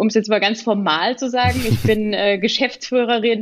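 A woman speaks in a normal speaking voice at a medium pitch. Her pace is moderate and her pitch varies in an ordinary way. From Pirmasens, Palatinate, Germany. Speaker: shoe manufacturer managing director. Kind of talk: podcast interview.

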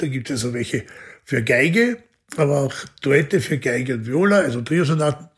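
The voice belongs to a man and sounds somewhat breathy. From Austria. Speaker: orchestra conductor and violinist. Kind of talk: interview conversation. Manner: thoughtful, with frequent fillers.

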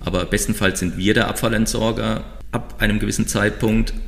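A man speaks with a very deep, low pitch and vocal fry. His pace is moderate and his pitch variation ordinary. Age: 50s. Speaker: recycling company founder. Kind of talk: podcast interview.

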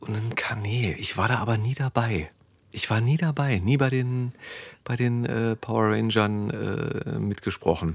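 Fairly slow delivery from a man, medium in pitch, with ordinary pitch variation and a plain, everyday voice. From Berlin. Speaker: podcast host and voice actor. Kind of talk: casual chat. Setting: studio.

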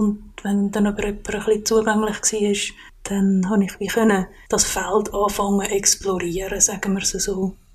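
With a somewhat breathy, medium-pitched voice, a woman speaks at a fairly slow pace in a monotone, flat intonation. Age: 40s. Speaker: podcast guest. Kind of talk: personal interview. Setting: kitchen at home.

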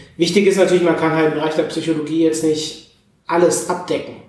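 A man with a fairly high voice speaks fairly quickly amid audible room echo. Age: 30s. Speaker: psychologist and podcaster. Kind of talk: interview conversation. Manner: hesitant fillers.

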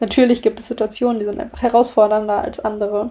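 This woman's voice sits at a fairly high pitch and has a dark, mellow tone. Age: 20s. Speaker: podcast host. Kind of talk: casual monologue. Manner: animated.

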